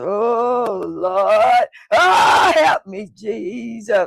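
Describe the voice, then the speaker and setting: A man shouts in a put-on character voice. His pitch is extremely high. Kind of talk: church, emotional. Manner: hollering, pleading, raised voice.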